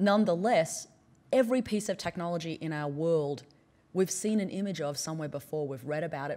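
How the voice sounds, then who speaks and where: A woman with an American accent talks at a fairly quick pace with lively intonation. Her pitch is fairly low and her tone dark and mellow. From Australia (central and northern). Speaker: anthropologist and professor; professor. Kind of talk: conference keynote. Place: hall. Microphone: podium.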